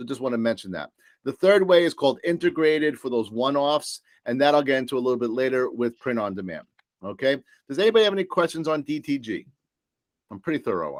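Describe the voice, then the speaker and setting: A man with a New York accent talks at a very fast pace in a fairly high pitch. His intonation is lively, with big swings in loudness. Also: dry, close sound with no echo. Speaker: supplier sales presenter. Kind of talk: business presentation. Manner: animated.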